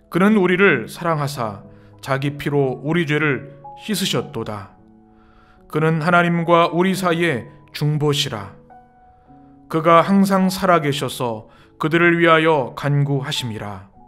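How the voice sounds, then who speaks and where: Music plays in the background while a man with a fairly high pitch speaks at a very slow pace. His intonation is lively, and he takes long, frequent pauses. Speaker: pastor.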